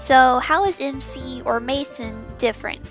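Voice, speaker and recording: A woman is talking. Music plays in the background. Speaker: animation series creator. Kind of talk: casual talk to camera about upcoming series. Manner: informal, self-correcting.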